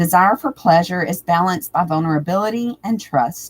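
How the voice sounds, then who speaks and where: Here a woman speaks at a moderate pace with lively intonation. Her voice is fairly low and somewhat breathy. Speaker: tarot reader. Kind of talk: live stream tutorial talk.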